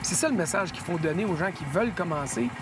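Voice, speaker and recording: In a Quebec accent, a man talks at a high pitch with ordinary pitch variation. Noticeable background noise is present. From Quebec, Sherbrooke. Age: 50s. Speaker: hockey journalist, golf guest. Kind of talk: casual interview. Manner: hesitant with many fillers.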